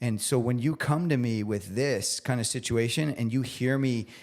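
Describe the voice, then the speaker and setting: A man's unremarkable speaking voice at medium pitch, with ordinary pitch variation, in a very clean recording over a silent background. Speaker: chef. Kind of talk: casual chat.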